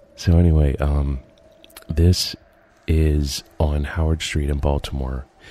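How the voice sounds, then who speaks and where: Through noticeable background noise, a man with a very deep, low pitch speaks very slowly in a monotone, flat intonation, with long, frequent pauses. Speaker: urban explorer video creator. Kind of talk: narrated video commentary. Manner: hesitant with fillers.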